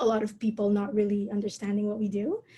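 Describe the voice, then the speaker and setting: A dark, mellow, somewhat breathy tone with fairly even intonation, in a Filipino accent. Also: woman. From Philippines. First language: Tagalog. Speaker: calligrapher and entrepreneur. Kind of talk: interview conversation. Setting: online video call.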